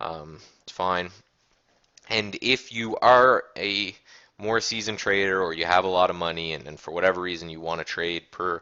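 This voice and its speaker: A man with a Canadian accent and a very deep, low pitch talks at a moderate pace with fairly even intonation. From Canada. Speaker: day trading educator. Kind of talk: casual tutorial. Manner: casual, many fillers.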